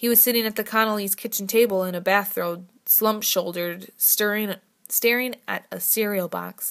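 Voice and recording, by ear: The pitch moves up and down in an ordinary way. The text is read aloud in a natural voice.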